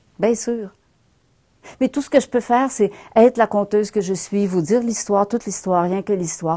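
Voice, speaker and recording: A woman's dark, mellow, medium-pitched voice at a moderate pace, with ordinary pitch variation, long, frequent pauses, and a quiet background. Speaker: storyteller. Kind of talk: live storytelling performance.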